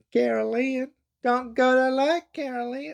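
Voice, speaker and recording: A put-on character voice, female-sounding, high-pitched for a woman, at a moderate pace. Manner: deliberately bad impression, repeated for comic effect; quavery, eerie call.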